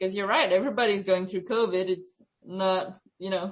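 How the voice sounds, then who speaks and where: A woman in a Quebec accent, medium pitch, fairly even intonation, moderate pace. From Quebec, Canada. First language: French. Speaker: student researcher. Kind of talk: research interview.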